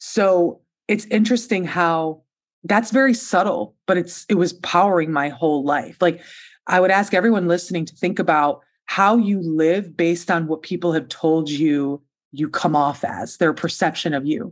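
Over a silent background in a very clean recording, a woman speaks at a moderate pace. Her voice is fairly low with ordinary pitch variation. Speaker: podcast host. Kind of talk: interview. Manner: warm and animated.

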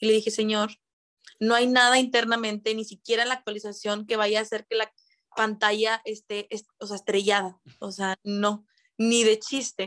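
At a moderate pace, a woman speaks with a fairly high pitch and monotone, flat intonation. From Mexico, Monterrey. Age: 20s. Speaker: call center agent and TikTok creator. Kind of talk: casual chat.

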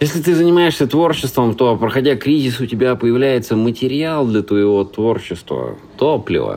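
Lively intonation and a dark, mellow tone mark this man's speech at a moderate pace. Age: 30s. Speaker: stand-up comedian and creative producer. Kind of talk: scripted narration.

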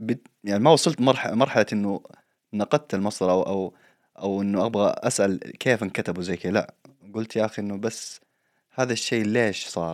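The recording is very clean with a silent background, dry and close with no echo. A man with an unremarkable speaking voice talks at a moderate pace and fairly low pitch, with ordinary pitch variation. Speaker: podcast host. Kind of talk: casual chat.

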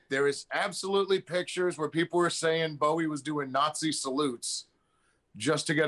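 A bright, sharp tone in a New York accent. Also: man. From New York City. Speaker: podcast guest. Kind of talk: casual chat.

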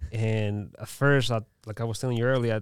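Someone with a Mexican accent speaks at a moderate pace in a monotone, flat intonation. The recording is very clean, with a silent background. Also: man. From Mexico. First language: Spanish. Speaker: restaurant owner. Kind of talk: casual interview.

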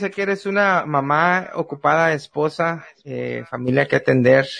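A man's bright, sharp-toned voice. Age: 30s. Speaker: podcast host. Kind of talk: casual chat.

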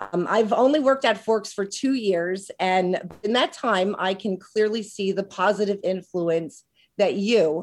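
A woman in a plain, everyday voice speaks at a fairly slow pace with a medium pitch and ordinary pitch variation, on a very clean recording with a silent background. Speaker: school staff member. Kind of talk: prepared tribute speech. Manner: thorough, a bit formal.

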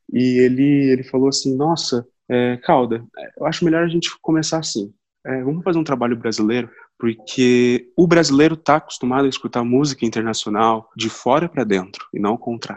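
Against a quiet background, the speech shows ordinary pitch variation at a moderate pace. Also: man. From Brazil, Londrina, Paraná. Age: 20s. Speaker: musician and songwriter. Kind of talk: casual interview. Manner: halting, many repetitions.

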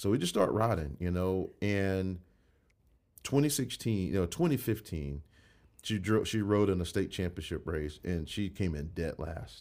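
On a very clean recording with a silent background, a man talks at a moderate pace. His voice is very deep and low, with ordinary pitch variation. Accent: Georgia. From US South, Jackson, Georgia. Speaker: mayoral candidate. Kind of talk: casual interview.

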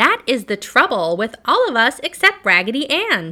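This put-on character voice sounds female, squeaky and high-pitched, with very wide pitch swings. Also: moderate pace.

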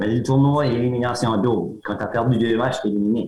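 This man's pitch is medium. His intonation is fairly even. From Acadian New Brunswick, Grande-Digue area. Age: 60s. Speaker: retired teacher and arm-wrestling champion. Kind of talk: interview. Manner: hesitant, repetitive.

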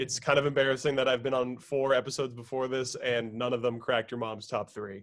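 A man at medium pitch speaks at a very fast pace. His intonation is monotone and flat. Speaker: guest. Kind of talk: casual chat. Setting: video call.

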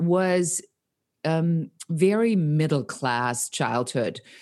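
With a German accent, a woman talks at a very slow pace with lively intonation. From Germany, Nuremberg. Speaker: entrepreneur. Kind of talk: casual interview.

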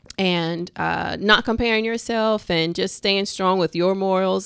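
A woman with an unremarkable speaking voice, medium pitch and fairly even intonation, in a very clean recording with a silent background. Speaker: esthetician and spa owner. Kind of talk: casual interview.

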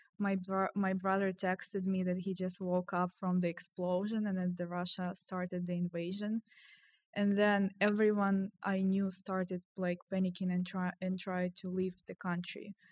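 A woman with a Ukrainian accent speaks at a medium pitch and moderate pace in monotone, flat intonation. The sound is dry and close with no echo, on a very clean recording with a silent background. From Ukraine, Kyiv. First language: Ukrainian or Russian. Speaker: software engineer. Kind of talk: casual chat.

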